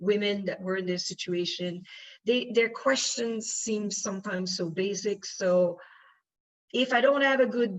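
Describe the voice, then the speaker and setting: A woman with a French accent, medium pitch, ordinary pitch variation and a fairly slow pace. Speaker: panelist, UN official. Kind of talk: panel discussion. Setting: conference panel. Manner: halting, many fillers.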